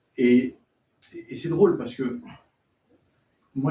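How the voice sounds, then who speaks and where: Somewhat breathy and dark, mellow in tone, a man with a Spanish accent speaks at medium pitch with ordinary pitch variation. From born in France to Chilean and Venezuelan parents, raised abroad in French schools. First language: Spanish (speaking French). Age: young. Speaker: novelist. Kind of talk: bookshop author talk. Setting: bookshop event with audience.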